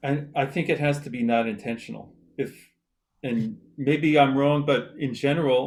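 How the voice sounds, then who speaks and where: A man with a normal speaking voice talks at a moderate pace, fairly high in pitch and with fairly even intonation. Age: 60s. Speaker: composer. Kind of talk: panel discussion.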